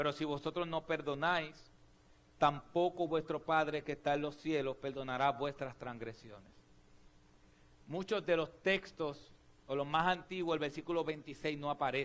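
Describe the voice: Fairly high in pitch, a man speaks with fairly even intonation and a fairly bright tone. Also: moderate pace.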